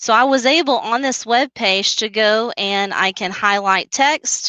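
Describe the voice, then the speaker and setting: Speaking in a Southern US accent, a woman uses a fairly high pitch, a bright, sharp tone and ordinary pitch variation at a fairly slow pace. The sound is dry and close with no echo, over a quiet background. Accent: Southern drawl. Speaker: teacher trainer. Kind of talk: tutorial. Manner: casual.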